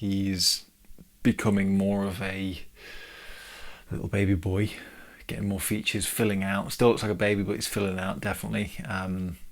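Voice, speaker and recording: Quietly and with an English accent, a man of fairly low pitch speaks in a monotone, flat intonation, with long, frequent pauses. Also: moderate pace. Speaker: podcast host, new father. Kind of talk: solo podcast monologue. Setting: home, baby's changing room, no studio. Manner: casual, hesitant with fillers.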